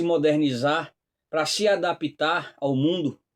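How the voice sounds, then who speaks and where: On a very clean recording with a silent background, a man with a northeastern Brazilian accent speaks at a fairly high pitch. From Northeast Brazil. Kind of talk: religious commentary talk. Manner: hesitant, frequent fillers.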